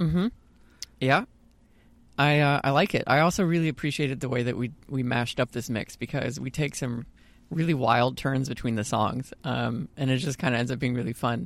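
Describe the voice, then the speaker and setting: On a very clean recording with a silent background, an unremarkable speaking voice goes at a fairly quick pace, its pitch varying in an ordinary way. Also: man, medium pitch for a man. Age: 30s. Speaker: podcast co-host. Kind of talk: casual chat.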